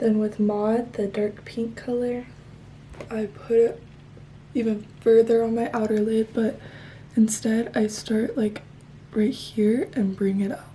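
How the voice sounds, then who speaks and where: Amid noticeable background noise, a woman with a fairly high pitch talks at a fairly slow pace in a monotone, flat intonation, pausing long and often. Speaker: beauty vlogger. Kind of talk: tutorial. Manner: soft-spoken.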